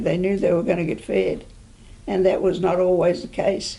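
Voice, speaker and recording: A woman with a New Zealand accent talks at a moderate pace in a medium pitch with lively intonation, amid audible room echo and noticeable background noise. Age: 80s+. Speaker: oral history interviewee. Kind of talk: oral history interview. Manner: halting.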